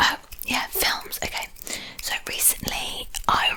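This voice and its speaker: Someone whispers in a British accent at a very slow pace over noticeable background noise. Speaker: ASMR creator. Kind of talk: whispered ASMR ramble. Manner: whispered.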